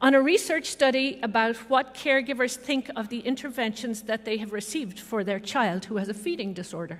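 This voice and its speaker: In an Irish accent, a woman speaks at a moderate pace with a fairly high pitch and lively intonation. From Ireland (Dublin). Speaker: professor. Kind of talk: ceremonial speech.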